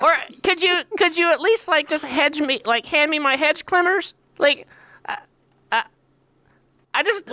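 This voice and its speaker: A put-on character voice, high-pitched and squeaky, carries a nervous tone. The pace is moderate, with long, frequent pauses. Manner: pleading, nervous.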